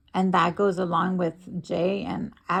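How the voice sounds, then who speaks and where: This woman speaks with a fairly low pitch and noticeable vocal fry. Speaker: streamer. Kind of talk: heated argument. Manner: agitated; halting.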